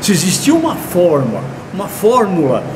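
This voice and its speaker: A man's pitch swings very widely as he talks at a moderate speed, with noticeable background noise and audible room echo around him. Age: 70s. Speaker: accounting professor. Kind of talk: online course lecture. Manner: halting.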